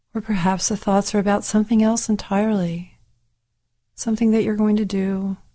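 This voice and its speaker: In a calm, soothing, somewhat breathy tone, a woman speaks at a medium pitch with monotone, flat intonation. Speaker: meditation teacher. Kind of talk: guided meditation with gentle spoken instructions. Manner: slow, calm and soothing, with long pauses between phrases; soft-spoken, repetitive and hypnotic, gently inviting rather than directing.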